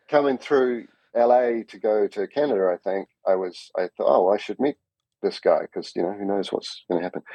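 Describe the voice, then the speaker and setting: At a moderate pace, a man with a New Zealand accent speaks with big swings in loudness. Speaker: cinematographer. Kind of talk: podcast interview.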